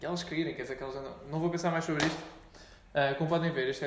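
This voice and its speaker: A man's fairly even intonation is heard with audible room echo and noticeable background noise. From Portugal, Montijo. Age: 20s. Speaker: podcast host. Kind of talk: casual chat.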